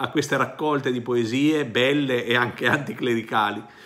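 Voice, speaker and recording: The background stays quiet. It is a man who speaks. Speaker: priest. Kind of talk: reading aloud a poem in Roman dialect, then reflective commentary. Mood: warm, smiling. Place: home room. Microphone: phone near.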